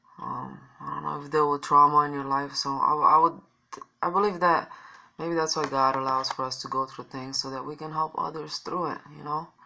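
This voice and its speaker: A woman with a Romanian accent, very deep and low in pitch, at a fairly quick pace, with fairly even intonation and big swings in loudness. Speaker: vlogger. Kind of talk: personal testimony. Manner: halting.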